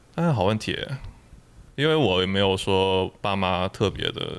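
A man with a fairly low pitch talks at a moderate pace. He has a plain, everyday voice. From Guangdong, China. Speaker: experienced camper. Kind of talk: casual interview chat.

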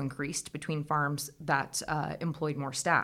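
A woman's very deep, low voice with an American accent at a moderate pace, on a very clean recording with a silent background. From US Midwest (Iowa). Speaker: agricultural researcher. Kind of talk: interview. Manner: hesitant, many fillers.

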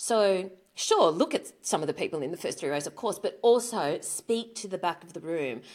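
A woman with an Australian accent speaks at a fairly quick pace, her pitch swinging very widely. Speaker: author, speaker and business owner. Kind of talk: interview.

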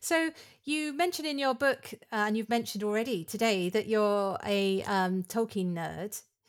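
A woman speaks at a moderate pace with a fairly high pitch. Hers is a plain, everyday voice. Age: 50s. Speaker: podcast host. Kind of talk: interview.

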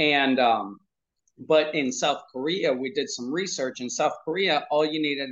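A plain, everyday voice from a man with an American accent, fairly slow in pace and fairly even in intonation. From US, Pennsylvania. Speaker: parenting coach. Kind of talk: interview.

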